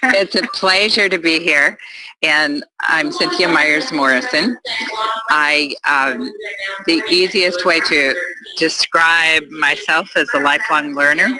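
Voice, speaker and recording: Over noticeable background noise, a woman with a fairly low voice speaks very slowly with lively intonation. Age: 70s. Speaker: addiction counselor trainee. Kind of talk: personal introduction in a training session.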